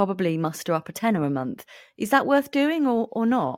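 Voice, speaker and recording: A woman with a British accent speaks at a very fast pace with very wide pitch swings. The recording is very clean, with a silent background and a dry, close sound with no echo. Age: 40s. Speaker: podcast host, clinical psychologist. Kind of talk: casual interview chat.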